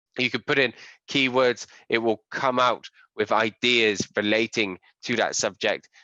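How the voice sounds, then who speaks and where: A man with an English accent speaks in a bright, sharp tone with fairly even intonation, the sound dry and close with no echo and the background quiet. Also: medium pitch for a man, fairly slow pace. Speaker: SEO and digital marketing trainer. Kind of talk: webinar tutorial.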